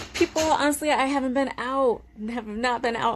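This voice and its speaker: A woman speaks at a fairly quick pace. She has an American accent. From Connecticut, New England. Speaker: reality TV personality. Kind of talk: live stream Q&A. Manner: loud; casual, filler-heavy.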